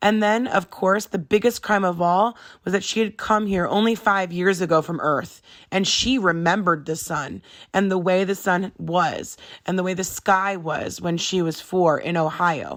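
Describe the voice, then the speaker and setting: In a put-on character voice, a woman talks at a moderate pace with a raspy, medium-pitched sound and fairly even intonation. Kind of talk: read-aloud storytelling. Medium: read story. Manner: measured, gentle.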